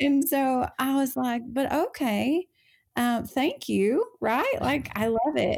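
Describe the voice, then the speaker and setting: In a very clean recording with a silent background, a woman with an Appalachian accent speaks at a very slow pace in a high pitch with ordinary pitch variation. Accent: Southern US (Appalachian). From North Carolina mountains (Appalachia). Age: 30s. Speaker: cosmetics business founder. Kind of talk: interview testimony.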